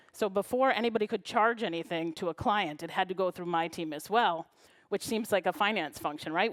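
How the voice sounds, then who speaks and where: An unremarkable speaking voice, this woman's medium pitch varies in an ordinary way as she talks at a fairly quick pace with an American accent, in a very clean recording with a silent background. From US Midwest, Chicago. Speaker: librarian and knowledge management consultant. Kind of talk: conference talk.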